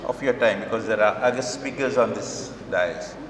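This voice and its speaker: A man with a Kerala Indian accent speaks at a moderate pace in a room with audible echo and noticeable background noise. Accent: Malayali Indian English. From Kerala, India (Cochin). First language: Malayalam. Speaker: professor and education activist. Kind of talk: public speech. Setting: stage with audience. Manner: halting.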